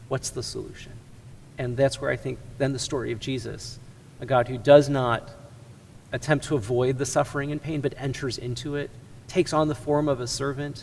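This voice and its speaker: A somewhat breathy man with an American accent, at a fairly quick pace. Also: medium pitch for a man. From US Midwest, Chicago area. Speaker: ministry executive. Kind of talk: interview conversation.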